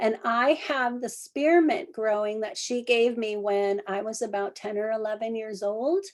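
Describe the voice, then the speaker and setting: A plain, everyday voice at a moderate pace on a very clean recording with a silent background. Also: woman. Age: 60s. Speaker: herbalist. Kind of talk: lecture.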